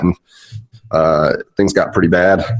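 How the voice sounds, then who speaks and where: Fairly even intonation marks this man's speech in an American accent. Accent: slight Southern accent, stronger after drinks. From US South, Charlotte, North Carolina. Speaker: physical therapist. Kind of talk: podcast interview.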